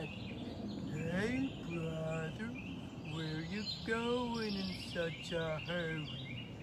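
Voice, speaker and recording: Someone talks in a put-on character voice at a very slow pace. Loud background noise runs underneath. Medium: read story. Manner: relaxed, folksy.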